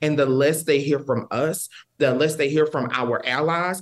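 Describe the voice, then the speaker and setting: At a moderate pace, a man with an American accent and a fairly high pitch uses an ordinary speaking voice. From Texas, near the Louisiana border. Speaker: policy advisor. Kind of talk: interview.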